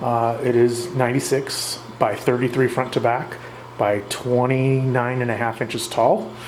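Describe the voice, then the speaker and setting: A man at medium pitch and a fairly slow pace, fairly even in intonation, with audible room echo and noticeable background noise. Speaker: reef aquarium hobbyist video host. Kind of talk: casual narrated tank tour. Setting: at home beside the tank, night. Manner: stumbling, stuttering through words; rambling, hesitant with many uhs.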